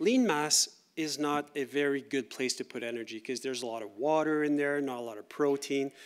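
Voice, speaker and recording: A man with a French-Canadian accent at a fairly quick pace, with ordinary pitch variation, on a very clean recording with a silent background. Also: fairly high pitch for a man. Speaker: university researcher. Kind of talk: lecture. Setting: conference workshop with audience. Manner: conversational, with fillers and repeats.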